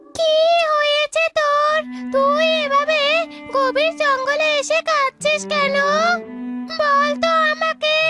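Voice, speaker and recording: A squeaky, female-sounding voice is put on as a character voice, moving at a fairly slow pace. Music plays clearly in the background. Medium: cartoon.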